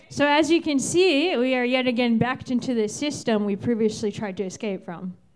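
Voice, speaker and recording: With an American accent, a woman with a high pitch talks at a fairly quick pace with hardly any pauses. Her intonation is lively, and there is noticeable background noise. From Virginia, Fairfax County. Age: 30s. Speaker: stand-up comedian. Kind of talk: stand-up. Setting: stage with audience.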